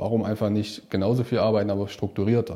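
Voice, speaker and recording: In a very clean recording with a silent background, a man with a dark, mellow tone and fairly low pitch talks at a moderate pace with fairly even intonation. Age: 30s. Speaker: self-employed financial adviser, coaching client. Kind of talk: casual interview testimony.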